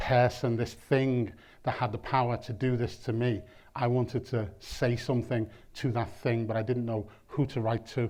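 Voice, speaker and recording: Against a quiet background, a man in a Liverpool accent talks at a moderate pace and medium pitch with monotone, flat intonation. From Liverpool, England. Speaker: performance poet. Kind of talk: spoken word poetry. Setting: lecture theatre with audience. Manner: rhythmic.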